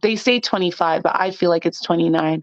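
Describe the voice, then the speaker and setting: A woman speaks in an ordinary speaking voice. Her pitch is fairly low, with ordinary pitch variation. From Canada, Toronto. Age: 20s. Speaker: podcast guest. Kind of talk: casual interview chat. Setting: phone or remote call.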